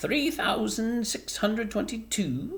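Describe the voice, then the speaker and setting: Over light background noise, a female-sounding, fairly high-pitched put-on character voice speaks at a fairly slow pace. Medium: read story. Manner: curt, dismissive.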